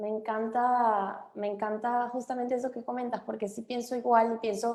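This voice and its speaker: Speaking in a Venezuelan accent, a woman has a fairly high pitch. Her delivery is fairly slow and her intonation monotone and flat. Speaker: immigration lawyer. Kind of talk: webinar chat. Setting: video call.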